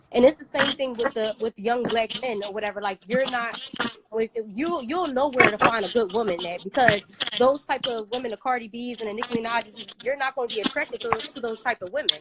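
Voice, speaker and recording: Pitch variation is ordinary. Background noise is noticeable. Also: woman, fairly high pitch for a woman, fairly quick pace, dry, close sound with no echo. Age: 20s. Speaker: caller. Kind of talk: casual chat. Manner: halting, many fillers.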